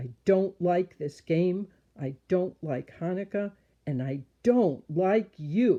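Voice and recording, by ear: Someone is reading aloud in a natural voice.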